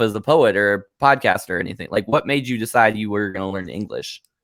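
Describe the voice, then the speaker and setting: On a very clean recording with a silent background, a man with an American accent talks at a fairly quick pace in a normal speaking voice. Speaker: podcast host. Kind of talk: interview conversation. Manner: casual, filler-heavy.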